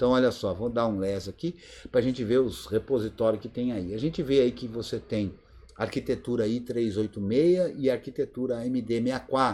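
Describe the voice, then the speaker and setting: Moving at a moderate pace, a man speaks in a dark, mellow tone with ordinary pitch variation. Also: medium pitch for a man. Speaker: Linux course teacher. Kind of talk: live online class Q&A. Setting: video conference.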